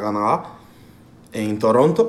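Audible room echo hangs around this man's speech. His pitch varies in an ordinary way. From Cuba. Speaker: professional footballer. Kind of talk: interview.

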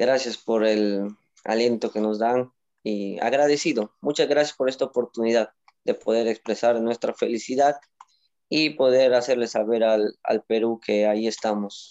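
At a fairly slow pace, a man with a normal speaking voice talks at a medium pitch. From Peru, Moyobamba, San Martín (Amazon region). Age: 20s. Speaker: Olympic weightlifter. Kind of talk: interview.

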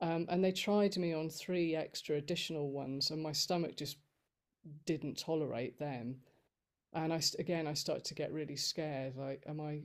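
This woman has an unremarkable speaking voice, fairly low in pitch. She talks at a moderate pace with ordinary pitch variation. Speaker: guest sharing chronic illness experience. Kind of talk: interview, personal story. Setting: video call.

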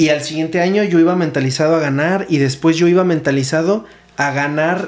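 A man with a Mexican accent, high-pitched, at a moderate pace with fairly even intonation. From Mexico, Morelia. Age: 20s. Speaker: podcast host and CrossFit coach. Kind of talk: casual chat.

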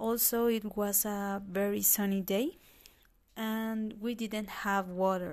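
In a Spanish accent, the speaker talks at a very slow pace with fairly even intonation, on a very clean recording with a silent background. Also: woman. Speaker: language student. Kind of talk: class assignment recording, personal narration. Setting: at home, recording on computer. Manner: halting, with many fillers.

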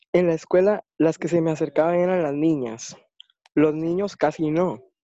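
Fairly high-pitched for a man, his voice has a dark, mellow tone and ordinary pitch variation. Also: dry, close sound with no echo. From Costa Rica. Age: 20s. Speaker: blind interviewee. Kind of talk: interview. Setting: online call away from home.

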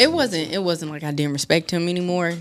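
A woman speaks at a fairly quick pace. Her pitch is fairly low with ordinary variation. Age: 20s. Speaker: returning podcast guest. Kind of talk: casual chat.

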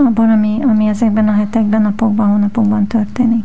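Somewhat breathy and at a fairly high pitch, a woman talks very fast in a monotone, flat intonation. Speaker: podcast co-host. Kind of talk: casual interview chat. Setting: studio.

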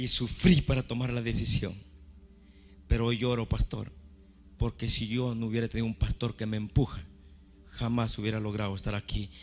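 A man at a medium pitch, moderate pace, with long, frequent pauses. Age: 50s. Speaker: pastor. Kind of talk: sermon. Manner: animated.

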